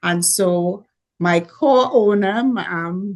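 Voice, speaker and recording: A woman speaks with a Caribbean accent at a medium pitch, her pitch varying in an ordinary way. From Caribbean, Dominica. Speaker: entrepreneur. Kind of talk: panel talk. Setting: video call.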